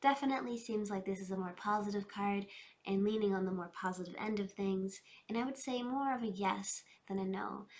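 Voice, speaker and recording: Speaking at a fairly quick pace, a woman has a normal speaking voice. Her pitch is medium, with ordinary pitch variation. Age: 20s. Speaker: tarot reader. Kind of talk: tarot reading.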